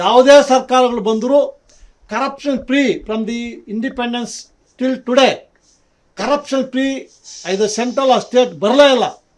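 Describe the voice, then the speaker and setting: A man with an extremely high pitch and fairly even intonation. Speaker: retired judge, deputy anti-corruption ombudsman. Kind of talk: news interview.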